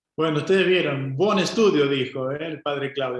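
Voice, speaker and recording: This man speaks with ordinary pitch variation. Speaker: friar teaching a Bible course. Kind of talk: Q&A session of a Bible course.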